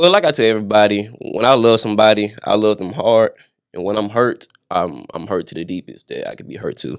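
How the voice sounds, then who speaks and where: A man's unremarkable speaking voice at fairly low pitch, with ordinary pitch variation, big swings in loudness and a fairly quick pace. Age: 20s. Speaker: singer and record producer. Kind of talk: interview.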